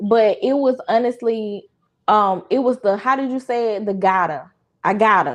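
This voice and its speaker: In a strong Southern US accent, a woman speaks at a fairly high pitch with ordinary pitch variation against a quiet background. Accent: Southern drawl, strong country. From US South. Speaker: content creator. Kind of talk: casual chat.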